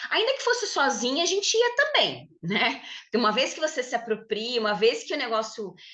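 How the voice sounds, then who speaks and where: A woman is speaking. Her pitch swings very widely. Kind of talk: podcast conversation.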